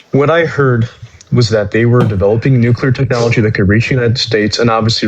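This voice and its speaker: A man with a medium pitch talks at a very fast pace over noticeable background noise. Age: 20s. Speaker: caller in live debate. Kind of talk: heated debate. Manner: halting, many fillers.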